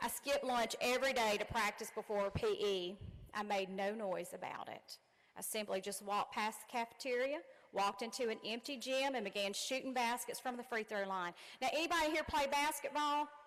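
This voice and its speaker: Speaking at a fairly quick pace, a woman with fairly high pitch talks in a strong Southern US accent. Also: ordinary pitch variation. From Louisiana. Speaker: commencement speaker, college dean. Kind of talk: commencement speech. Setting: stage with audience. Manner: animated.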